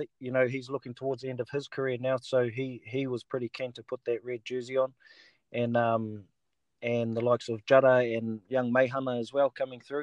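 A man's monotone, flat voice at a fairly quick pace, in a dry, close sound with no echo. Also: medium pitch for a man, quiet background. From New Zealand, south Taranaki. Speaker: rugby league player. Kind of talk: casual chat.

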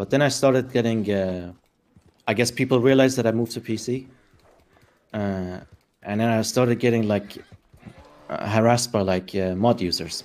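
Using fairly even intonation and a medium-pitched voice, a man speaks at a fairly quick pace with long, frequent pauses. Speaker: gamer streamer guest. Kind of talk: casual livestream chat interview. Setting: livestream, remote connection.

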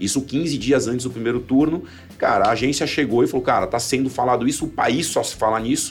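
An unremarkable speaking voice, a man at medium pitch with ordinary pitch variation and a fairly quick pace. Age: 40s. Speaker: marketing executive. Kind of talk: casual chat.

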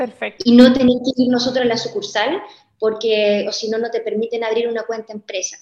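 A woman talks at a fairly quick pace in a fairly high pitch, with fairly even intonation. It is an ordinary speaking voice. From Chile. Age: 20s. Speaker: entrepreneur. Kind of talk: interview.

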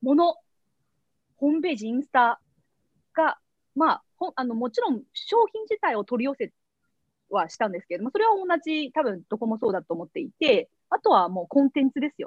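A high-pitched woman at a fairly quick pace, with very wide pitch swings and big swings in loudness. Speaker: company CEO and founder. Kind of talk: interview.

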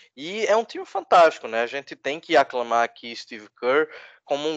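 Speech in a Recife accent moves at a fairly quick pace with lively intonation. The sound is dry and close with no echo, over a quiet background. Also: man. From Brazil, Recife. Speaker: basketball podcaster. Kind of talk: casual chat.

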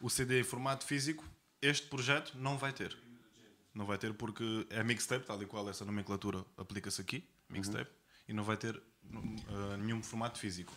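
Bright and sharp in tone, a man speaks at a medium pitch and moderate pace. His pitch varies in an ordinary way, while his loudness swings widely. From Portugal (Algarve). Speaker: rapper. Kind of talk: casual interview.

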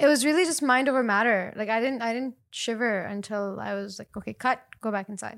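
A woman's ordinary speaking voice at a fairly high pitch, fairly quick with hardly any pauses, ordinary pitch variation and big swings in loudness, on a very clean recording with a silent background. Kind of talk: casual chat.

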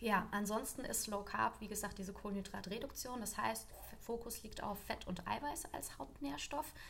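A woman's medium-pitched voice with ordinary pitch variation at a moderate pace, with audible room echo and noticeable background noise. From Lower Franconia, Germany. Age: 20s. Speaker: nutritionist. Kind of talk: expert explanation in interview.

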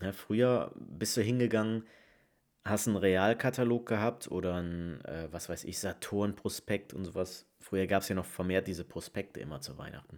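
In a plain, everyday voice, a man talks at a moderate pace, fairly low in pitch with ordinary pitch variation, on a very clean recording with a silent background. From Rhineland, Leverkusen. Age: 20s. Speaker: podcast host. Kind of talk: casual monologue.

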